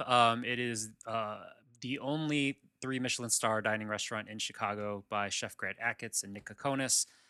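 Set against a silent background, the recording is very clean. A man with a bright, sharp tone speaks at a medium pitch and moderate pace. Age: 30s. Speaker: podcaster, father. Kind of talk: casual interview chat.

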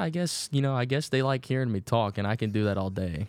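With a slight Southern US accent and ordinary pitch variation, a man is heard in a very clean recording with a silent background. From Virginia. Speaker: rookie baseball pitcher. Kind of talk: casual interview.

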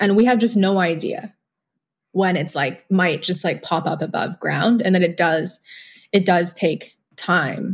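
A woman speaks at a medium pitch and a fairly slow pace, sounding somewhat breathy. Her pitch varies in an ordinary way, and the recording is very clean with a silent background. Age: 20s. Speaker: organic livestock farmer and birth attendant. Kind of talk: casual chat.

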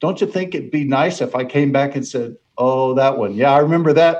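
A plain, everyday voice from a man, pitched fairly high, with a moderate pace and ordinary pitch variation. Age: 60s. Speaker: author on mentoring. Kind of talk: interview.

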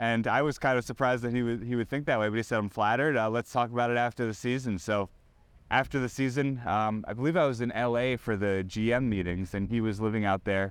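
A man's very fast speech at a medium pitch, with ordinary pitch variation and very even loudness. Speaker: sports reporter. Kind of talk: casual interview chat.

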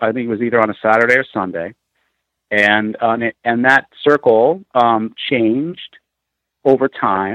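An American accent marks this man's medium-pitched voice, delivered at a moderate pace with ordinary pitch variation. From US Midwest, Peoria, Illinois. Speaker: elementary school teacher and spirit medium. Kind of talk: podcast interview.

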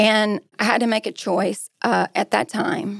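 With a Texan accent, a woman talks at medium pitch and a fairly slow pace with vocal fry, in a dry, close sound with no echo. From Texas. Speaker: restaurant group executive. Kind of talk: personal life story; casual chat.

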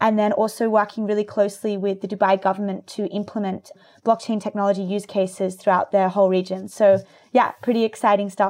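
Against a quiet background, the speaker goes at a fairly quick pace with an Australian accent and a monotone, flat intonation. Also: woman, medium pitch for a woman. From Australia (rural New South Wales, near Byron Bay). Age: 20s. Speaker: tech startup founder. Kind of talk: interview.

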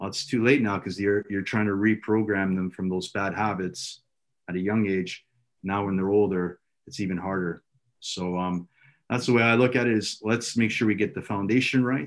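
A man with a Canadian accent uses an ordinary speaking voice at a fairly low pitch. He keeps a moderate pace and fairly even intonation. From Ontario, Canada. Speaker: youth soccer director and coach. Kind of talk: casual interview.

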